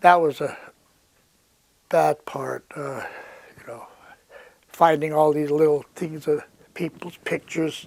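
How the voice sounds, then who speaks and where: Fairly high-pitched for a man, he talks fairly slowly in a monotone, flat intonation, with big swings in loudness and long, frequent pauses. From Ouzinkie, Alaska. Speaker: fisherman, earthquake and tsunami survivor. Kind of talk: interview answer.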